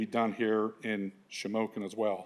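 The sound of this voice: This is a man with a fairly low-pitched voice.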